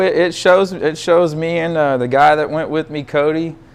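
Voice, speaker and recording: With a Texan accent, a man speaks in a high voice with an animated tone. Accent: Texan southern drawl. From Texas. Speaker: stainless steel fabricator and drag racer. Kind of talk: casual chat.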